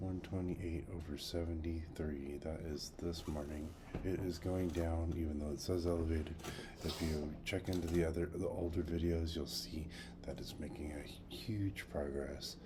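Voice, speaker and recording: Speech moves at a moderate pace with fairly even intonation. Room echo is audible. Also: man, very deep, low pitch for a man. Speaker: health journey vlogger. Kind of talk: casual video diary. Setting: at home. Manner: quiet.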